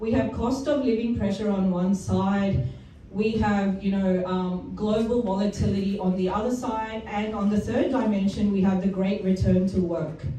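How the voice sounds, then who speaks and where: Her pace moderate and her pitch variation ordinary, a woman speaks with hardly any pauses through noticeable background noise and audible room echo. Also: medium pitch for a woman, very even loudness. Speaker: retail industry presenter. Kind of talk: business presentation.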